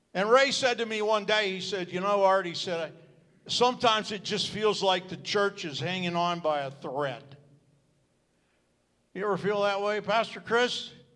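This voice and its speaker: In a room with audible echo, a man with a high, bright, sharp voice talks at a moderate pace using ordinary pitch variation. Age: 70s. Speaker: retired pastor. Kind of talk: speech at church celebration.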